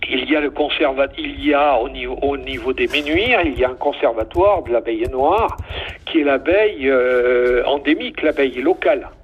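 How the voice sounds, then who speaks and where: Against noticeable background noise, a man's words come at a moderate pace. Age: 70s. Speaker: beekeeping association section president. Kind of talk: interview. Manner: halting, many fillers.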